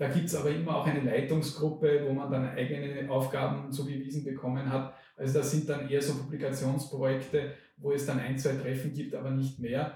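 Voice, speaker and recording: Noticeable background noise and audible room echo surround a man who talks at a fairly quick pace in a fairly high pitch with monotone, flat intonation. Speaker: professor of linguistics. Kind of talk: interview.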